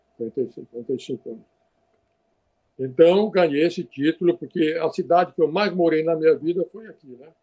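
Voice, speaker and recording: A man's high-pitched voice in a dark, mellow tone moves at a fairly quick pace. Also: ordinary pitch variation, dry, close sound with no echo. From northern Brazil (Acre and Rondônia). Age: 70s. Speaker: physician. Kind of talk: oral history interview. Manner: halting, with repetitions.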